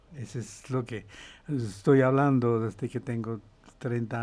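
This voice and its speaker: There's a man talking at medium pitch in a dark, mellow tone. His pace is moderate and his pitch varies in an ordinary way. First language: not Spanish (speaking Spanish). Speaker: professor and author. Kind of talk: interview conversation. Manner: halting.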